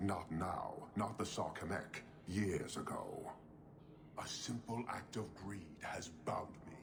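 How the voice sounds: A man's slow, low-pitched put-on character voice with vocal fry and ordinary pitch variation, over clear background noise.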